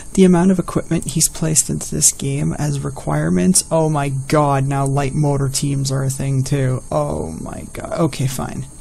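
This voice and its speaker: A soft-spoken man talks at a moderate pace in a fairly high pitch with ordinary pitch variation. Noticeable background noise is present. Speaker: gaming video creator. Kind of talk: let's play commentary. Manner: animated.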